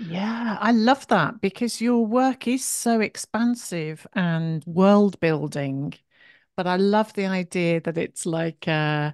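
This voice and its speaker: With an English accent, a woman speaks at a very slow pace. Her intonation is lively, and the background is quiet. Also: dry, close sound with no echo. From England, Shropshire. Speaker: podcast host and creative coach. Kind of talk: interview.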